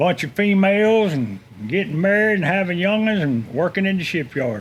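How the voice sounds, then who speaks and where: With a Florida accent, a man speaks at a moderate pace in a high pitch, his intonation lively. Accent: Southern US (Florida). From Tampa, Florida. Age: 60s. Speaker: shipyard worker. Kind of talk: casual chat.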